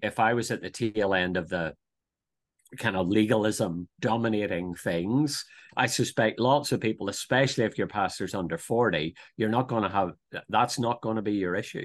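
Over a quiet background, a man with a Northern Irish accent speaks at a moderate pace with a fairly low pitch and ordinary pitch variation. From Northern Ireland, near Belfast. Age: 50s. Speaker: theological college principal and pastor. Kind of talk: interview conversation. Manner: hesitant, many fillers and repetitions.

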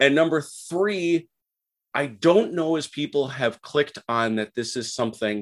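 A man speaks with an American accent and lively intonation in a plain, everyday voice. The recording is very clean, with a silent background. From Milwaukee, Wisconsin. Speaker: wargamer. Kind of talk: casual interview.

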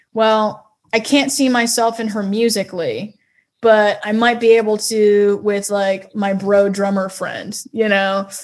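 Speaking in a monotone with flat intonation, a woman with an American accent uses a fairly high pitch at a fairly slow pace. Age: 20s. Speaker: singer-songwriter. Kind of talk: casual interview.

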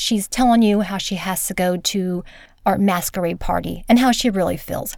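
The voice reads aloud plainly, with ordinary pitch variation.

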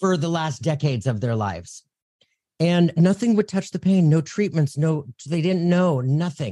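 Moving at a moderate pace, a man talks in a dark, mellow tone. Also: dry, close sound with no echo. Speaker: psychic medium and podcaster. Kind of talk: casual interview chat. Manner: energetic.

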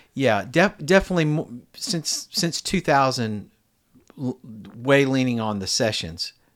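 A man with an American accent speaks at a fairly slow pace. His medium-pitched voice moves in very wide pitch swings. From US, Virginia. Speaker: session guitarist. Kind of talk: casual interview chat.

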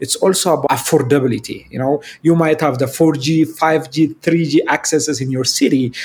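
The speaker talks at a moderate pace with an Ethiopian accent. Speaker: digital ministry director. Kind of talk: casual interview.

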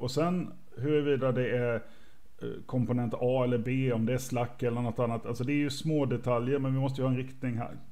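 Audible room echo surrounds a man's dark, mellow, medium-pitched voice. He talks at a fairly quick pace with monotone, flat intonation and very even loudness. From Sweden, Småland. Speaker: university IT staff, podcast co-host. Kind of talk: casual livestream chat.

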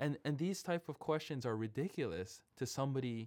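Speaking at a moderate pace with ordinary pitch variation, a man uses a plain, everyday voice. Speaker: podcast host. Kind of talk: casual interview chat.

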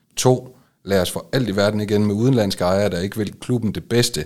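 A man with a plain, everyday voice talks at a moderate pace and a fairly low pitch. His pitch variation is ordinary, and the recording is very clean with a silent background. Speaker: football club podcast host. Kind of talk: interview. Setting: studio.

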